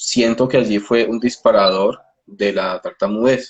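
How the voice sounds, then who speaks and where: A man speaks at a very slow pace. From Colombia. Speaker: speech therapist. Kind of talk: interview. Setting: video call. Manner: halting.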